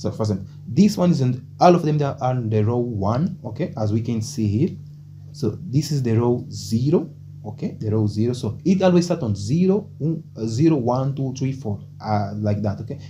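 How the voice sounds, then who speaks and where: A man talks at a moderate pace with medium pitch and lively intonation. His tone is dark and mellow, and somewhat breathy. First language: Portuguese. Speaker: programming tutor. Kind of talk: tutorial. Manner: halting, many fillers.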